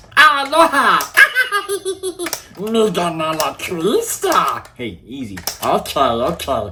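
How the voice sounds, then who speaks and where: Putting on a gravelly, guttural character voice, a man speaks at a very slow pace with long, frequent pauses. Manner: broken, stumbling speech.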